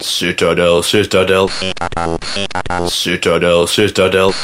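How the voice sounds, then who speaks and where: A man uses a booming, put-on character voice at a fairly slow pace. Background noise is clearly audible. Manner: foreboding, repeating.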